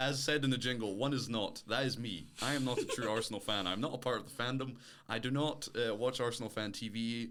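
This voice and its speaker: A man with an American accent, medium in pitch, fairly quick in pace and fairly even in intonation, with audible room echo. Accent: mild Scottish, often heard as American. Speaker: podcast co-host. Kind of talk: casual chat.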